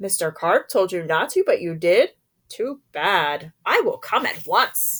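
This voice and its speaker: A woman talks at a fairly slow pace in a put-on character voice. Her pitch sits in the medium range. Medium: read story.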